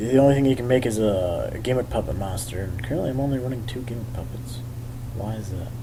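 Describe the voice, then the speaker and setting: The speech carries ordinary pitch variation. Audible room echo and noticeable background noise fill the recording. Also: man. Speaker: YouTube card game deck profiler. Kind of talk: casual tutorial. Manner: halting, stuttering with fillers.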